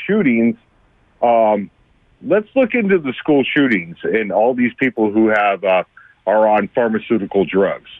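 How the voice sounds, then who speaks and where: A plain, everyday voice talks at a fairly slow speed. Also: man. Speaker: radio caller, parent. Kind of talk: phone-in opinion call. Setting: phone call.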